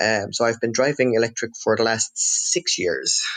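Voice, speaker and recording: A man with a Cork accent speaks at a moderate pace. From Netherlands. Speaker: electric car owner. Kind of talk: podcast interview. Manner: halting, many fillers.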